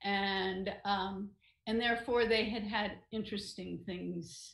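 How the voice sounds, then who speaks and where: With vocal fry and fairly even intonation, a woman speaks at a very slow pace in a quiet background with audible room echo. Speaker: novelist and retired writing professor; retired writing professor. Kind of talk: online interview. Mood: reflective, warm. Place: home room. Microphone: video call.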